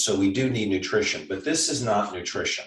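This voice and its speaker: Here a man talks in an unremarkable speaking voice. His intonation is lively and his pace moderate. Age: 60s. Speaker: doctor. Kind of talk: casual chat.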